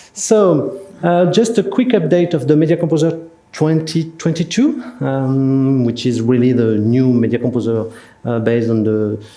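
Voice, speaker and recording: A man with a French accent, medium in pitch, lively in intonation, at a moderate pace. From France. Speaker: software solutions specialist. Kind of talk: product presentation. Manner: halting, many fillers.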